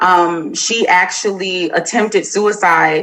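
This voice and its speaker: A woman keeps her intonation fairly even while noticeable noise plays behind her. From Florida. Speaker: army veteran and social worker. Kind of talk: interview.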